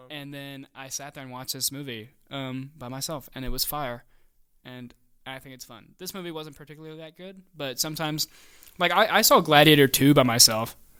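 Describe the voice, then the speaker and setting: Heard on a very clean recording with a silent background, a man with a bright, sharp tone and fairly high pitch talks at a fairly quick pace, with ordinary pitch variation and big swings in loudness. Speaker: film podcast co-host. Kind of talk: casual chat. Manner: animated.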